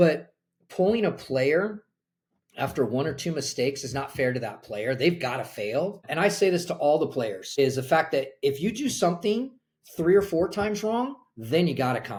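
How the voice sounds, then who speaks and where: At a moderate pace, a man with an American accent speaks at a fairly high pitch with very wide pitch swings. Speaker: college soccer coach. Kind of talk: podcast interview.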